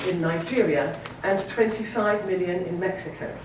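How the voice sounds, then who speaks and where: With a British accent, a woman speaks at medium pitch amid noticeable background noise and audible room echo. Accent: British-sounding. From Sierra Leone and Scotland. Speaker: novelist. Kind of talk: keynote speech.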